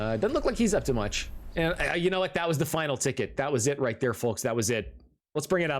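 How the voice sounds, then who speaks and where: Very fast and very even in loudness, a man talks at a fairly high pitch with vocal fry and very wide pitch swings. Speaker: esports commentator. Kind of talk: live commentary. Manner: animated.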